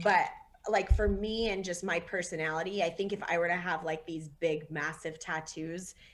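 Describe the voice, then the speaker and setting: A woman speaks at a moderate pace with fairly even intonation and a fairly low pitch. Noticeable background noise runs under her voice. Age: 30s. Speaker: sports writer and photographer. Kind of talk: interview.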